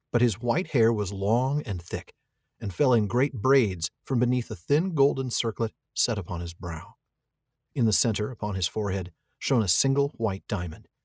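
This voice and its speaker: A somewhat breathy man's voice at medium pitch with lively intonation. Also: moderate pace, very clean recording, silent background. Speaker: podcast co-host. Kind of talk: casual chat.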